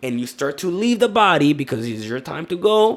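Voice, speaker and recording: Pitched high, this man's speech swings very widely up and down. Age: 20s. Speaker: social media creator. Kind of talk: casual interview chat. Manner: halting, with frequent repetitions.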